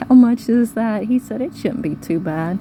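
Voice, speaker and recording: The pace is fairly quick. The voice is a woman's. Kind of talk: casual vlog update. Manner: fast.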